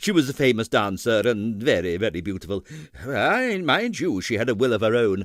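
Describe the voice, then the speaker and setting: Putting on a character voice, a man growls at a medium pitch with lively intonation and a moderate pace. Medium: read story.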